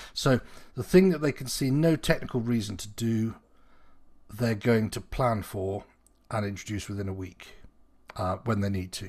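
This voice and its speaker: A man speaks at medium pitch and a moderate pace, somewhat breathy, with ordinary pitch variation and big swings in loudness. Long, frequent pauses break it up, on a very clean recording with a silent background. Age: 50s. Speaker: podcast host. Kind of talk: casual chat.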